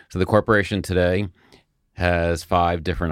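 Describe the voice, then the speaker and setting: With an American accent, a man with a very deep, low voice speaks at a moderate pace on a very clean recording with a silent background. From New York suburbs (Scarsdale), US Northeast. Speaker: hotel executive and sports team co-owner. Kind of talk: interview conversation.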